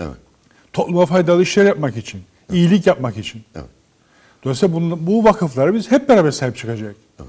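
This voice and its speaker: Against a quiet background, a man talks fairly quickly with lively intonation and a dark, mellow tone. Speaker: professor and foundation director. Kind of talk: interview. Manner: formal. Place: studio. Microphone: lapel.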